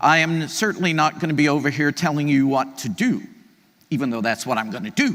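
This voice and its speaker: A man speaks loudly with an energetic tone. His pitch swings very widely. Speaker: keynote speaker, CEO of an aging organization. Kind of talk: conference keynote talk. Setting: stage with audience. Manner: energetic, conversational.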